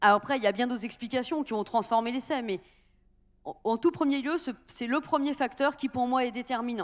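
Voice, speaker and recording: Against a quiet background, a woman talks at a fairly quick pace, her high pitch showing ordinary variation. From Brittany. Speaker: salt cooperative president. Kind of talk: panel discussion. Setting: stage with audience. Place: hall. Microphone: handheld.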